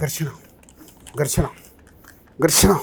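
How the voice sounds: Using a put-on character voice, a man sounds soft-spoken and raspy at a fairly high pitch.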